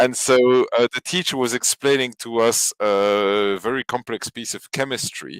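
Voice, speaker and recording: A man with a French accent talks at a fairly slow pace and a medium pitch, with hardly any pauses. The recording is very clean and dry, close and echo-free, over a silent background. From Belgium, Flemish area, French-speaking family. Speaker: podcast guest. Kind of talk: casual chat. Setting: live stream. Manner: hesitant, many fillers.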